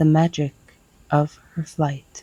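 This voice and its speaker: Soft-spoken and somewhat breathy, the voice moves at a very slow pace with a dark, mellow, soothing tone and a dry, close sound with no echo. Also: woman. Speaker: ASMR poetry reader. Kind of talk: poetry reading. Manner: soft-spoken, soothing.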